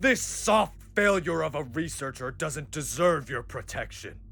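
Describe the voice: Using a put-on character voice, a man talks at a fairly slow pace with fairly high pitch, a bright, sharp tone and vocal fry. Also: lively intonation.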